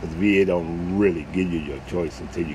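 Over noticeable background noise, a man with a very deep, low pitch speaks at a fairly quick pace with ordinary pitch variation. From New Orleans, Desire housing project. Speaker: vlogger. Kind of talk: casual monologue.

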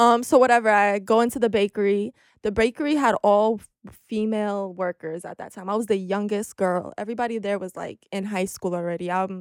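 In a normal speaking voice, a woman of medium pitch speaks at a fairly quick pace with fairly even intonation, the sound dry and close with no echo on a very clean recording with a silent background. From Albania, raised in New York City. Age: 20s. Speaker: podcast host. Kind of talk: casual chat. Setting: studio.

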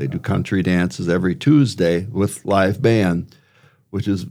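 A very slow man's voice in an Upper Midwest accent, with lively intonation. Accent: Upper Midwest American. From Wisconsin, rural farm. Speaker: retired teacher, local resident. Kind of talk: casual interview. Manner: halting, many fillers.

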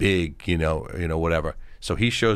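A man with a Long Island accent at a fairly quick pace. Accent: New York (Long Island). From Long Island, New York. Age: 50s. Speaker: actor and film director. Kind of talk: casual interview chat.

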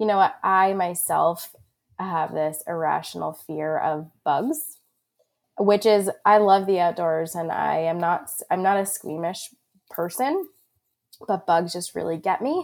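In an American accent and an unremarkable speaking voice, a woman talks fairly slowly at medium pitch with ordinary pitch variation, on a very clean recording with a silent background. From Long Island, New York. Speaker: hunter education program manager. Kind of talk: casual chat.

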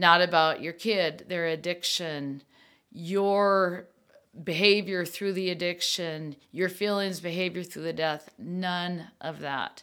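A woman's fairly low, bright and sharp voice in an American accent, very slow, with fairly even intonation, on a very clean recording with a silent background. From US Midwest, Minnesota. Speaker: podcast host, bereaved parent. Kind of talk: personal monologue podcast.

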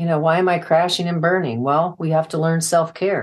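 This is an unremarkable speaking voice, moving at a moderate pace with fairly even intonation. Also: woman. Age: 60s. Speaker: nurse practitioner and author. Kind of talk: casual interview chat.

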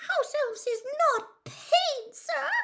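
A put-on character voice sits at an extremely high pitch. The sound is squeaky. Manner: timid, horrified.

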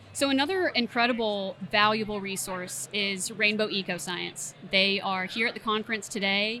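At a moderate pace with hardly any pauses, a woman with an American accent and a plain, everyday voice speaks at medium pitch with ordinary pitch variation. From Tallahassee, Florida. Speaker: plant health care manager. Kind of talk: interview conversation.

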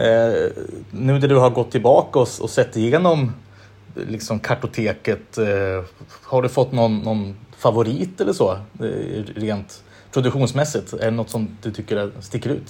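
A man's somewhat breathy voice has ordinary pitch variation. Long pauses come often. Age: 30s. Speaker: podcast host. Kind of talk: casual interview chat.

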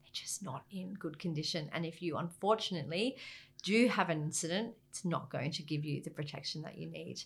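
Her pitch is fairly low for a woman. She speaks with an Australian accent. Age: 40s. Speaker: government maritime director. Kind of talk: interview.

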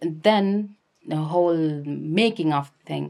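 A woman with a Nepali accent speaks on a very clean recording with a silent background. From Nepal, Kathmandu area. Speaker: activist and documentary filmmaker. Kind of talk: interview.

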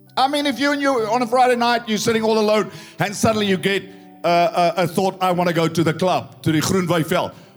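Music plays behind a man with a high-pitched voice. He talks at a very fast pace in an animated tone. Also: very even loudness. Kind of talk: sermon. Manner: blunt, conversational and jokey, with folksy asides between scripture.

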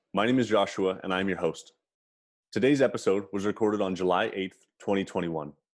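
At a fairly quick pace, a man with an unremarkable speaking voice talks at a fairly low pitch with ordinary pitch variation over a quiet background. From Canada. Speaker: podcast host. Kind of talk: casual interview chat.

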